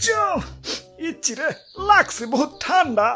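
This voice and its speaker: The speaker uses a cartoonish character voice. Faint music plays in the background. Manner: rustic dialect, loud and bossy.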